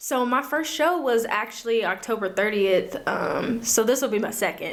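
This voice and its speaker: A woman speaks with fairly high pitch. Noticeable background noise sits behind her. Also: ordinary pitch variation, moderate pace. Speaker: singer-songwriter. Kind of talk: casual interview chat.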